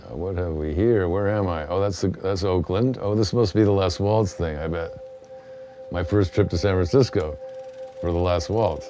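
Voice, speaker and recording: Music plays in the background as a man speaks in a very deep, low pitch. He keeps a moderate pace with ordinary pitch variation. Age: 60s. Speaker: retired concert enthusiast. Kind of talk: documentary interview. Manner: halting.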